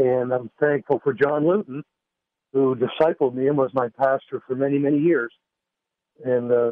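A man's fairly high pitch, with fairly even intonation at a moderate pace. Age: 50s. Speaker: pastor and golf instructor. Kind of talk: testimony.

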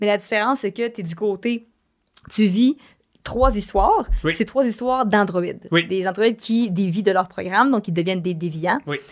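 Speaking at a moderate pace in a medium pitch, a woman uses ordinary pitch variation and an ordinary speaking voice. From Quebec (Varennes). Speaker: streamer and singer. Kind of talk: casual chat. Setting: studio.

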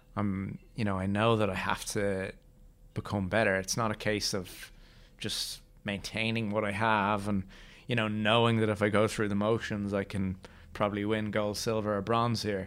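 A man with an Irish accent speaks in a monotone, flat intonation, recorded very cleanly with a silent background. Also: fairly low pitch for a man, moderate pace. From Ireland. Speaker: Paralympic wheelchair table tennis player. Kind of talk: interview.

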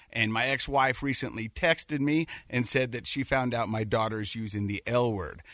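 A man with an American accent speaks in a normal speaking voice at medium pitch and moderate pace, with ordinary pitch variation and hardly any pauses, the sound dry and close with no echo. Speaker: podcast co-host and dad. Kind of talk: casual radio interview. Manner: jokey, friendly.

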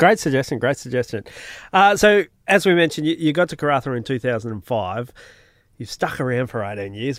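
A man with a plain, everyday voice speaks at a moderate pace and a fairly high pitch on a very clean recording with a silent background. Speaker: podcast host. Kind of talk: casual interview chat.

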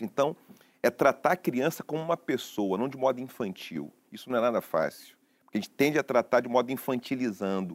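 A man with an ordinary speaking voice talks at a fairly quick pace and medium pitch, his intonation lively, in a dry, close sound with no echo. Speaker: philosopher and professor. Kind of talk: talk show discussion.

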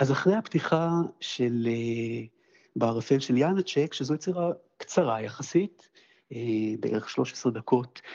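A man speaks at a very slow pace with a medium pitch. He leaves long, frequent pauses. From Israel, Jerusalem. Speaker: pianist and conductor. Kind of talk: interview.

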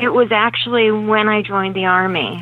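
A woman speaks in a normal speaking voice, keeping a moderate pace and ordinary pitch variation. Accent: American. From Pennsylvania, Reading area. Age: 40s. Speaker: recovering alcoholic, army veteran. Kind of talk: telephone interview, personal testimony. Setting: phone call.

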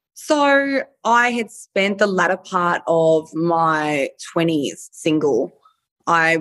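Speaking with an Australian accent, a woman uses a fairly low pitch and lively intonation. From Australia, Melbourne (Frankston). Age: 30s. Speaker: adult entertainer, former reality TV contestant. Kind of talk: casual interview chat.

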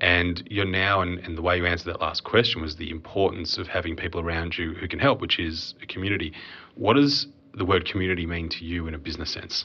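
A man with an Australian accent and a very deep, low pitch talks at a very fast pace with ordinary pitch variation. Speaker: podcast host and accountant. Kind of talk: casual business podcast commentary and interview.

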